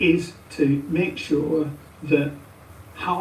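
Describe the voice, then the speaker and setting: Over noticeable background noise and audible room echo, a woman speaks at a very deep, low pitch. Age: 70s. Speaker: retired head teacher. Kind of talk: interview. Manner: hesitant, with filler sounds.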